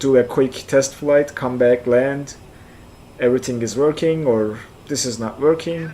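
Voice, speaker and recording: With a Turkish accent, a man speaks at a fairly slow pace using fairly even intonation. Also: medium pitch for a man. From central Turkey (Kayseri). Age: 40s. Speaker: flight sim streamer. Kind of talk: live stream chat. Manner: halting, repeats words.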